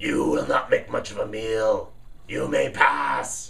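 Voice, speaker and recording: A man puts on a raspy character voice at a fairly slow pace over light background noise. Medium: read story. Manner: menacing.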